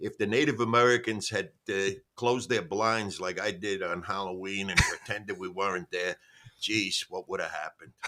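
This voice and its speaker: A man with a New York accent talks at a moderate pace. His voice is fairly low, with ordinary pitch variation. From New York, the Bronx. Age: 70s. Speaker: stand-up comedian. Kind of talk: podcast interview. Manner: halting, many fillers.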